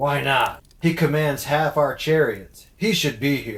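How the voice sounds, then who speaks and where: A man speaks in a put-on character voice at a fairly slow pace. His pitch is fairly high, with lively intonation. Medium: audio drama. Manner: blunt.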